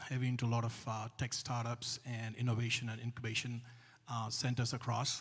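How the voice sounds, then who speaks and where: A man's medium-pitched, somewhat breathy voice speaks in a flat monotone. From India, Hyderabad. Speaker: investor and entrepreneur, panelist. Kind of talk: panel discussion. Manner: hesitant, many filler sounds.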